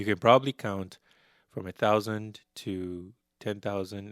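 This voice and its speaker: A man with a non-native accent speaks at a fairly low pitch in a monotone, flat intonation. The recording is very clean, with a silent background. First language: not Spanish. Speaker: language teacher. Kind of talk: tutorial. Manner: slow.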